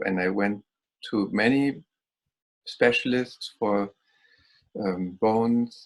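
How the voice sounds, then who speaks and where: The man speaks with lively intonation. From Germany. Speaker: Reiki healer. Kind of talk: interview.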